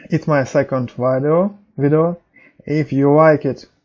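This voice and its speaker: Very slowly, a man with a non-native accent speaks in a dark, mellow tone at a fairly high pitch. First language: not English. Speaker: programming tutorial youtuber. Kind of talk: tutorial. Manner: halting.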